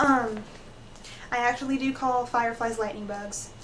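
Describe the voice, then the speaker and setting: A woman talks with fairly even intonation. There is noticeable background noise and audible room echo. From US South. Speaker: vlogger. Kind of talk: casual vlog rant. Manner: hesitant, frequent ums.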